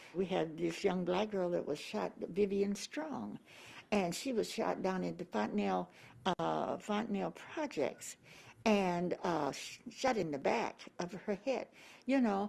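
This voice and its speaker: A woman at a medium pitch, fairly slow pace, lively intonation and vocal fry. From US Midwest, Omaha, Nebraska. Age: 80s+. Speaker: civil rights activist. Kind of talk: interview. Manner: halting.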